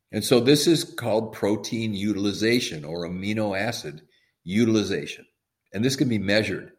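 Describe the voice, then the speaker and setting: An American-accented man speaks at a fairly quick pace with a fairly low pitch. His pitch varies in an ordinary way, and room echo is audible. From US Midwest, Madison, Wisconsin. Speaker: physician and supplement maker. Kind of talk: interview.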